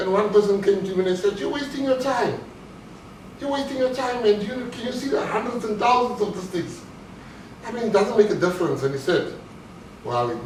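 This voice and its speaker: Against noticeable background noise and audible room echo, a man with a high voice talks at a fairly quick pace. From South Africa. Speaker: motivational speaker, former bank robber turned entrepreneur. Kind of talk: motivational talk.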